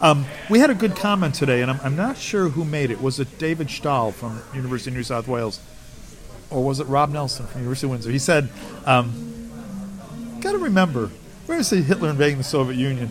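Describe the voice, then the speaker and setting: Over noticeable background noise, a man with a fairly high voice and an American accent talks at a very fast pace with lively intonation. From United States. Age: 60s. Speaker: military historian. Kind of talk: casual interview.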